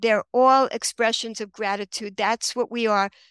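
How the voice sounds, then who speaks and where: A bright, sharp tone with fairly even intonation and an American accent comes through in a dry, close sound with no echo. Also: woman, very clean recording, silent background. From Queens, New York. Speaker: author. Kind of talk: interview.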